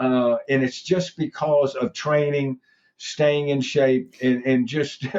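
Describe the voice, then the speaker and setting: A man's fairly high-pitched voice with an American accent, at a very slow pace and very even loudness. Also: fairly even intonation. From Texas. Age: 70s. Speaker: baseball coach and cancer survivor. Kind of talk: interview testimony. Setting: podcast. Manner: halting, many repetitions and fillers.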